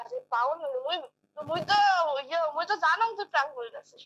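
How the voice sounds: With a fairly bright tone, a woman talks fast at a high pitch, her intonation lively and the sound dry and close with no echo.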